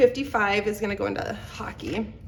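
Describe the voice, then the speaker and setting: A woman's medium-pitched voice with ordinary pitch variation and noticeable background noise. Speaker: budgeting vlogger. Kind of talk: casual chat. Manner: casual, filler-heavy.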